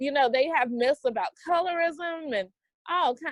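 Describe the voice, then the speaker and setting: With a Southern US accent, a woman speaks at a moderate pace in an animated tone with ordinary pitch variation. The sound is dry and close, without echo. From US South, Greensboro, North Carolina. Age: 40s. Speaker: entrepreneur and podcast guest. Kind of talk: interview conversation.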